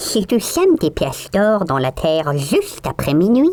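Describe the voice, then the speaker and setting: A man speaks at a moderate pace in a put-on character voice pitched high. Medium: read story. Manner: sly, wheedling.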